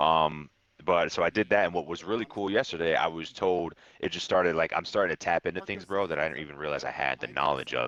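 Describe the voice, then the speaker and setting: The delivery is very fast, with vocal fry and ordinary pitch variation. The sound is dry and close, with no echo. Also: man, very deep, low pitch for a man. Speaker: streamer. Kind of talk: casual chat. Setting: voice chat on Discord. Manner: animated.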